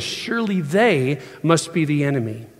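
Lively intonation marks this man's normal speaking voice, which sits fairly high in pitch. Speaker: preacher. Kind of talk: sermon. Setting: church.

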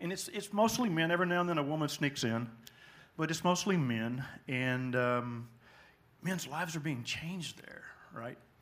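With an American accent and lively intonation, a man speaks in a fairly high voice at a moderate pace, with long, frequent pauses and audible room echo. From Texas (small town near Dallas). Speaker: church deacon, retiree. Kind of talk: testimony interview at church.

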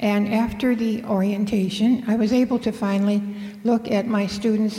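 There is noticeable background noise and audible room echo as a woman speaks at a moderate pace. Her medium-pitched voice stays monotone and flat. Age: 80s+. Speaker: retired teacher, storyteller. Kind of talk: live storytelling.

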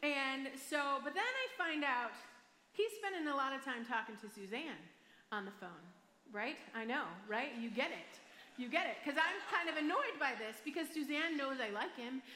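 In an American accent, a raised, projected voice with lively intonation moves at a moderate pace over noticeable background noise. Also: woman, high pitch for a woman. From Michigan, US. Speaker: pastor. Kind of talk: sermon. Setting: church stage with audience.

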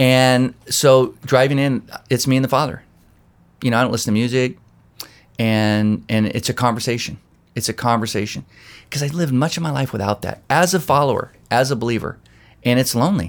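Long, frequent pauses break up a man's fairly quick speech. His medium-pitched voice shows ordinary pitch variation. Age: 50s. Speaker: pastor. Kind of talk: casual chat. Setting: office.

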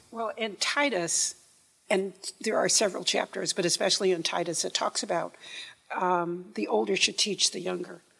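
A woman talks at a moderate pace with medium pitch and ordinary pitch variation. Vocal fry runs through her voice. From upstate New York. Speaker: church member. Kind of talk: testimony. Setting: church.

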